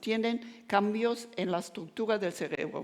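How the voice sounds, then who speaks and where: On a very clean recording with a silent background, a woman with a German accent speaks at a fairly high pitch, a moderate pace and ordinary pitch variation. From Germany. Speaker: neuroscience professor. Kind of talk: lecture. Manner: halting, with frequent self-corrections.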